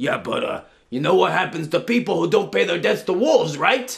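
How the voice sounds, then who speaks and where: A man in a put-on character voice at a fairly quick pace. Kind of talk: folktale storytelling performance. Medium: read story.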